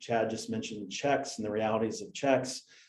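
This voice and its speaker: Audible room echo surrounds a man with an American accent and a dark, mellow tone, who speaks at a moderate pace with ordinary pitch variation. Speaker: sales representative for a payments platform. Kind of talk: product presentation.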